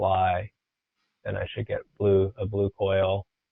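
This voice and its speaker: A man with a fairly low pitch and a very slow pace. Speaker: software trainer. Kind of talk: tutorial.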